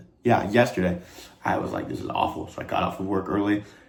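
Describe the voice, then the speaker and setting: A man with an American accent speaks with a very deep, low pitch and lively intonation at a moderate pace. Noticeable background noise and audible room echo are present. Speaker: vlogger and college athlete. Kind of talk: casual vlog talk. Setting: outdoors playing disc golf. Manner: rambling, many fillers.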